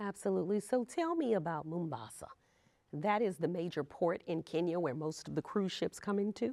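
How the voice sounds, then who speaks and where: With a Louisiana accent, a woman speaks at a fairly quick pace, her fairly low voice dark and mellow in tone, with lively intonation. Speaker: travel show host. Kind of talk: interview. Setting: cruise industry trade event.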